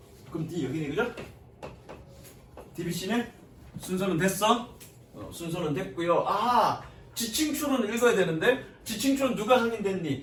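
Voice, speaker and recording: A man with a high voice and lively intonation speaks at a fairly slow pace with long, frequent pauses and big swings in loudness, amid noticeable background noise and audible room echo. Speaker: English teacher. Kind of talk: lecture.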